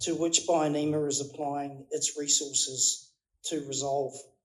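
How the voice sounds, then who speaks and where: In a New Zealand accent, a man speaks fairly slowly at a fairly high pitch with monotone, flat intonation. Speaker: company executive. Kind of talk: speech. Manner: halting.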